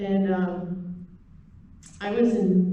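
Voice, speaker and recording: Both noticeable background noise and audible room echo surround this woman as she talks. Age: 60s. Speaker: traditional beadwork teacher. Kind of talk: presentation. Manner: hesitant.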